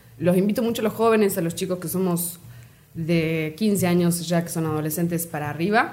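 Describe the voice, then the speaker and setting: Against noticeable background noise, a woman with a fairly low pitch speaks at a moderate pace with ordinary pitch variation. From Argentina, Córdoba province (Río Ceballos). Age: 20s. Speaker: guest, community volunteer. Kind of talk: casual interview.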